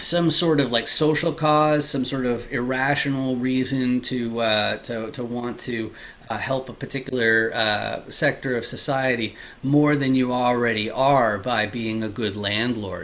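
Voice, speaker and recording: Against noticeable background noise, a man talks at a fairly slow pace with a medium pitch and fairly even intonation. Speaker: commercial real estate investor. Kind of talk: interview host questions. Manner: casual, hesitant.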